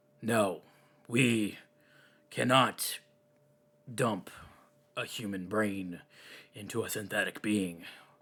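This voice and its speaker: In a raspy, put-on character voice, a man speaks very slowly at a fairly low pitch with long, frequent pauses. The recording is very clean, with a silent background. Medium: actual play. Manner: earnest, defensive.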